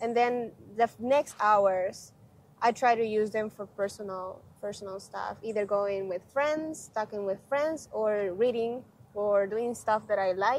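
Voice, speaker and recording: Her voice sits fairly high, with ordinary pitch variation. This woman speaks at a fairly slow pace in a Spanish accent. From Honduras. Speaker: graduate student. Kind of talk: interview.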